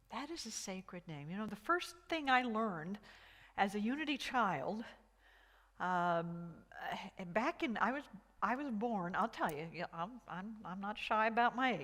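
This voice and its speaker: With very wide pitch swings and long, frequent pauses, a woman speaks fairly slowly at a fairly high pitch. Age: 60s. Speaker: minister. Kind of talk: sermon. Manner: halting, with many repeated words.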